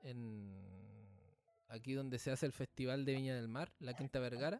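This man's voice sits at a medium pitch. He talks at a moderate pace. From Chile. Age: 20s. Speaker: podcast host. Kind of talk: casual chat.

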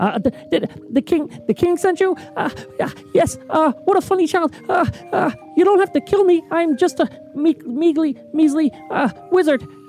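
A high-pitched put-on character voice at a very slow pace, with clear music in the background. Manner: timid, pleading.

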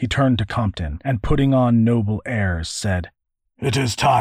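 Behind an unforced reading voice, the background is quiet.

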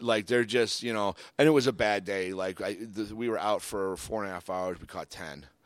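A man with an unremarkable speaking voice and an American accent talks at a fairly low pitch and a moderate pace, with hardly any pauses. His pitch varies in an ordinary way, his loudness swings widely, and the recording is very clean with a silent background. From Michigan and Cape Cod, US. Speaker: podcast co-host. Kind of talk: casual chat.

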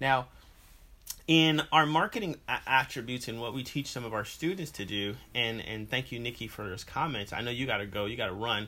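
Here is a man with an ordinary speaking voice. He talks at a fairly quick pace with ordinary pitch variation. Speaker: podcast host. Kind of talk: interview.

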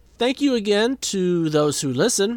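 A man with an American accent speaks at a fairly slow pace in a high pitch, with very wide pitch swings. The recording is very clean, with a silent background. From US Midwest, Saint Paul, Minnesota. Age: 40s. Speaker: podcast host. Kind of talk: casual monologue. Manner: dry, self-deprecating.

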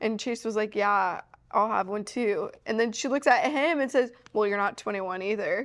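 An ordinary speaking voice, a woman at a fairly quick pace with ordinary pitch variation against a quiet background. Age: 20s. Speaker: podcast co-host. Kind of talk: casual chat.

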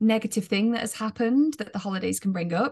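Against a quiet background, a woman with an English accent sounds somewhat breathy, with ordinary pitch variation. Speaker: positive psychology coach. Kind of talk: interview.

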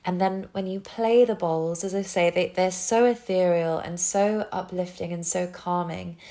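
A woman speaks in a British accent at a medium pitch and a moderate pace. Her intonation is fairly even, with hardly any pauses. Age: 30s. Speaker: yoga teacher. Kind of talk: casual interview chat.

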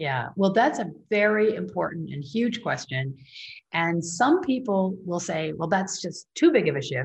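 A woman with an American accent speaks at a moderate pace in a somewhat breathy, fairly low voice with very wide pitch swings. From US Midwest, Michigan. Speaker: rancher and author. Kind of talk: interview. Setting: radio show.

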